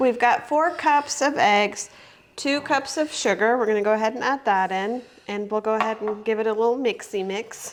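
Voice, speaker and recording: This woman has a normal speaking voice, pitched fairly high. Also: ordinary pitch variation, moderate pace. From Germany, moved to US at about 14. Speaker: home cooking video host. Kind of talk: cooking tutorial. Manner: casual, filler-heavy.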